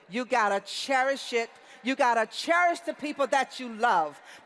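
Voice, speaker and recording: A woman's speech comes fairly slowly with lively intonation, noticeable background noise behind it. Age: 60s. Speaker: convention speaker. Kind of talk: motivational speech.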